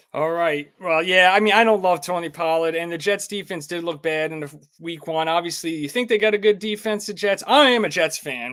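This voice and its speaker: In a New York accent, a man speaks fairly quickly with hardly any pauses, at a high pitch. His tone is bright and sharp, with ordinary pitch variation. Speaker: sports betting show host. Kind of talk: live stream sports chat. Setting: live stream. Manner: casual, animated.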